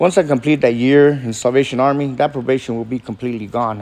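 Fairly quick in pace, a man with an unremarkable speaking voice talks at a medium pitch with ordinary pitch variation. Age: 50s. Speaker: recovering alcoholic. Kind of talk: testimony. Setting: meeting room with audience.

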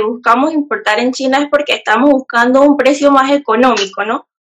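A woman's voice, high in pitch. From Panama, Panamá Oeste. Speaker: e-commerce entrepreneur and YouTuber. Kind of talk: interview.

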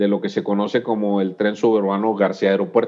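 A fairly slow pace and a fairly low pitch from a male speaker. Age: 50s. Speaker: civil engineer, urban mobility expert. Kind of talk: casual interview.

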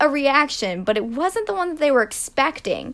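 Raising and projecting her voice, a woman speaks at a high pitch with a bright, sharp tone and very wide pitch swings. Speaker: podcast host. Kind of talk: casual storytelling monologue. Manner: casual with filler words.

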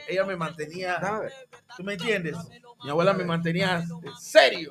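A man's high-pitched voice at a moderate pace, with music in the background. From Panama, former Canal Zone. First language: English (speaking Spanish). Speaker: tropical urban music singer. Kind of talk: casual interview chat. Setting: radio studio.

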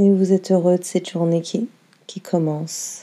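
Her tone calm and soothing, a woman speaks at a medium pitch with monotone, flat intonation. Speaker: yoga nidra teacher. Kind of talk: guided meditation. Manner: slow, calm, soothing, with long pauses.

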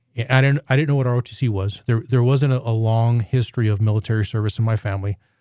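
A man with an American accent, medium pitch, fairly even intonation, a fairly quick pace and a somewhat breathy sound. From New Mexico, US Southwest. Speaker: military general. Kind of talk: podcast interview. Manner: halting, frequent fillers and repeated words.

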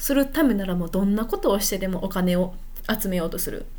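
With very wide pitch swings and audible room echo, a woman talks at a fairly quick pace. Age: 20s. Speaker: podcaster. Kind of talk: casual monologue. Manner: unscripted, hesitant.

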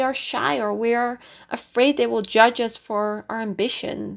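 Fairly high in pitch and fairly slow, a woman speaks with a Dutch accent on a very clean recording with a silent background. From Netherlands, near Amsterdam. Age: 20s. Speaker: podcast host. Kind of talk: casual monologue. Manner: hesitant, many fillers.

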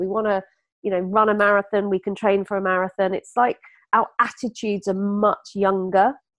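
A woman talks in a normal speaking voice at medium pitch. Her pace is fairly quick. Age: 50s. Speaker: beauty brand founder. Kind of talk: interview.

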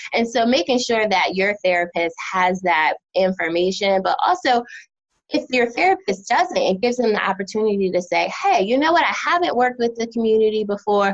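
A woman with an American accent has an unremarkable speaking voice, fairly high in pitch, moving at a fairly quick pace with lively intonation and very even loudness. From New Jersey and Philadelphia. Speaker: therapist. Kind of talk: casual interview.

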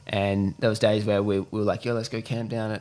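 A man speaks at a fairly quick pace with an Australian accent. His pitch is fairly low. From Western Australia (Perth, Cocos Islands). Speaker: e-commerce entrepreneur, agency owner. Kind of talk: casual interview chat.

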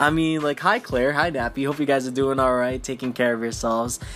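Music playing in the background beneath ordinary pitch variation. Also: man. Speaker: podcaster. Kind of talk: casual solo podcast. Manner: rambling with fillers.

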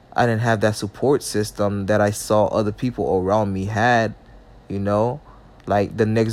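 A man with a fairly low pitch speaks at a moderate pace in a monotone, flat intonation. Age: 20s. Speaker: solo podcaster. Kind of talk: casual monologue vlog. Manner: halting.

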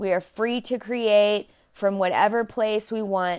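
A woman's medium-pitched voice with an American accent, fairly slow and fairly even in intonation, on a very clean recording against a silent background. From Texas, Dallas. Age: 30s. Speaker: podcast host. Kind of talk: solo monologue podcast.

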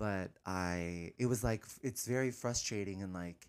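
This is a very clean recording with a silent background. A man speaks with fairly even intonation. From San Francisco Bay Area, California. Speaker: comedian and musician. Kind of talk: interview.

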